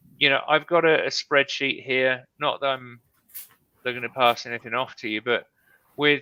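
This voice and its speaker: Here a man with a British accent speaks at medium pitch and a moderate pace, with ordinary pitch variation. The sound is dry and close, with no echo. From Britain. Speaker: live stream host, real estate investor. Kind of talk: casual chat. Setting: live stream video call.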